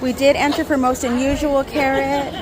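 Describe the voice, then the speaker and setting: Amid crowd noise and audible room echo, a woman speaks in a high voice. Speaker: gardening vlogger. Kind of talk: casual vlog walkthrough. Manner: animated; whispering.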